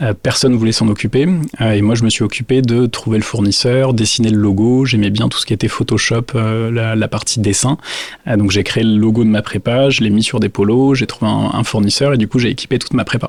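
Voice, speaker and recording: A man with an ordinary speaking voice talks at a fairly quick pace and medium pitch, keeping very even loudness and fairly even intonation. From southwestern France (Dax, Landes). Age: 30s. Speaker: business owner. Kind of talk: interview. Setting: factory visit.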